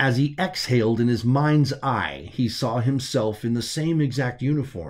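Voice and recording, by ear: Someone is reading aloud in a natural voice. The words come out read from a text.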